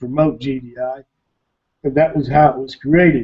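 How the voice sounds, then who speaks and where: Over a quiet background, a man talks at a moderate pace in a fairly high voice with fairly even intonation. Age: 60s. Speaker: internet marketer, webinar presenter; webinar presenter. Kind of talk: webinar presentation. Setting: online webinar. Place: home room. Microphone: webcam.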